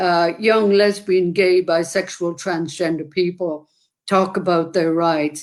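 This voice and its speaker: With an Irish accent, a woman speaks at a very slow pace, fairly low in pitch, with monotone, flat intonation and very even loudness. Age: 70s. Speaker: activist. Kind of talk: interview conversation.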